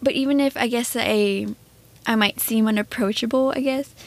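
A soft-spoken woman's fairly high voice at a moderate pace, with fairly even intonation. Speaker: podcast co-host. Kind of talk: casual conversation.

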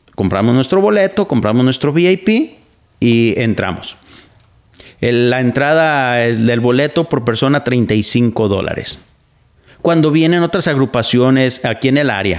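With very even loudness and lively intonation, a man speaks at a fairly slow pace and medium pitch in an unremarkable speaking voice. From Mexico. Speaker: podcast host and radio broadcaster. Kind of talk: casual commentary monologue.

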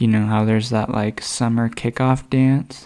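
In an American accent, a man speaks at a medium pitch and a fairly slow pace. His intonation is monotone and flat, and the recording is very clean with a silent background. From Texas, Dallas area. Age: 20s. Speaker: podcast host. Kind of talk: casual monologue.

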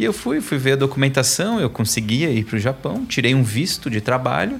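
A man speaks with lively intonation. His pitch sits in the middle range. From São Paulo east zone, Brazil. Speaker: author and course instructor. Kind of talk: podcast interview. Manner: animated.

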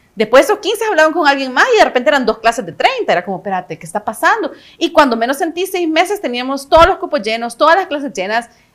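A woman with a Salvadoran accent talks at a very fast pace with hardly any pauses. Her high voice swings very widely in pitch and shifts a lot in loudness. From El Salvador. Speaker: actress and casting director. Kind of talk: casual interview chat.

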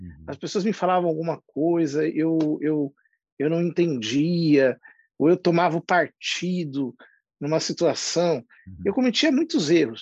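Heard with a dry, close sound and no echo, a fairly high-pitched man talks fairly slowly with ordinary pitch variation and big swings in loudness. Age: 40s. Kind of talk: interview conversation. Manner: halting, many fillers.

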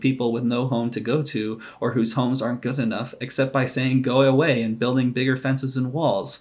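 The speaker reads in an unforced reading voice.

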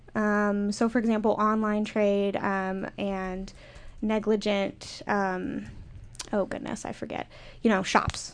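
A woman speaks very slowly with an Upper Midwest accent. Her intonation is flat and monotone. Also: medium pitch for a woman. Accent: Upper Midwest American. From Minnesota. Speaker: graduate student. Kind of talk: panel discussion.

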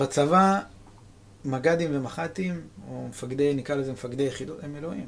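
At a moderate pace, the speaker leaves long, frequent pauses, with big swings in loudness and ordinary pitch variation. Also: man, fairly high pitch for a man. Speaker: army veteran. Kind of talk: testimony.

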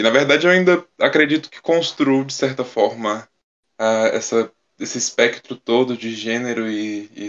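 This is an ordinary speaking voice. It keeps a moderate pace with ordinary pitch variation. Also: man. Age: 20s. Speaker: singer. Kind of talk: casual chat.

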